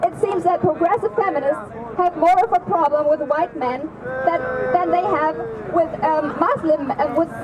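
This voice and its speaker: Against crowd noise in the background, a woman talks at a fairly slow pace in an extremely high pitch. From Germany. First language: German. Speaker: activist. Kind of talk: rally speech.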